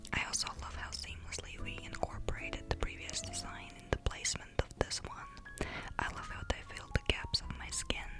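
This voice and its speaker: Whispering with hardly any pauses, a woman speaks over noticeable background noise. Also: moderate pace. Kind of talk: ASMR tattoo show and tell, whispered talk to camera. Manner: whispered, soft, intimate.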